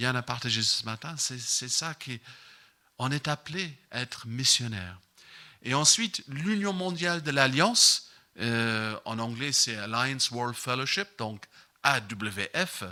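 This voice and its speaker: A bright, sharp voice with an English accent and lively intonation speaks at a very slow pace on a very clean recording with a silent background. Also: man. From Ireland. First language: English (speaking French). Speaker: missions representative preaching. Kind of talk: sermon. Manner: halting, many fillers.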